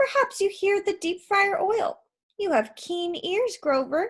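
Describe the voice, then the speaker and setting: A woman does a put-on character voice, squeaky and extremely high in pitch. She moves at a fairly slow pace with very wide pitch swings. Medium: read story. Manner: sweet, coaxing.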